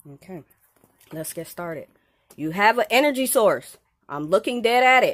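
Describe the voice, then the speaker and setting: Her pitch fairly high, a woman speaks with very wide pitch swings. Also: moderate pace. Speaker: paranormal video creator. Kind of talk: solo vlog addressing spirits. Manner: stutters. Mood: firm, demanding. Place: home room. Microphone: phone near.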